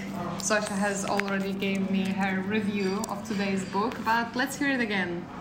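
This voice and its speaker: Against noticeable background noise and audible room echo, a woman speaks at a medium pitch. Her intonation stays fairly even, with hardly any pauses. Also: moderate pace. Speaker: podcast co-host, university student. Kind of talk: casual chat. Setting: cafe.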